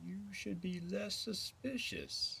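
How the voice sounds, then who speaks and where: A put-on character voice plays over clear background noise. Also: man. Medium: read story. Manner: knowing, riddling.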